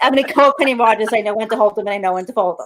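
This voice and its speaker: In a Brooklyn accent, a woman with a fairly high pitch speaks in an animated tone with lively intonation. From New York City, Brooklyn. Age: 50s. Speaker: health and wellness entrepreneur. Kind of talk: casual interview chat.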